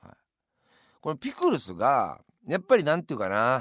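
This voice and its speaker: Over a silent background in a very clean recording, a man speaks at a moderate pace with vocal fry and very wide pitch swings. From Yamanashi, Japan. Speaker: radio host. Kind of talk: radio monologue.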